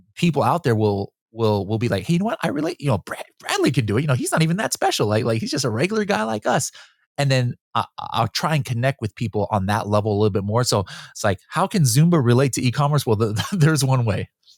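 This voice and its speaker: A man talks at a very fast pace with lively intonation. The sound is dry and close with no echo. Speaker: Amazon seller expert and podcaster. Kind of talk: casual interview chat. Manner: animated, repetitive false starts.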